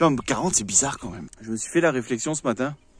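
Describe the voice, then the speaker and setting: A man speaks with lively intonation. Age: 40s. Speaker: vlogger. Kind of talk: casual vlog monologue. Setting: outdoors, early morning in mountains. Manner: casual, hesitant with fillers.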